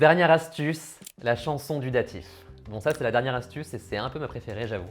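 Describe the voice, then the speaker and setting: A man's medium-pitched voice at a fairly quick pace, with ordinary pitch variation, big swings in loudness and music in the background. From France. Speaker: language learning youtuber. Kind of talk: tutorial. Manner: casual.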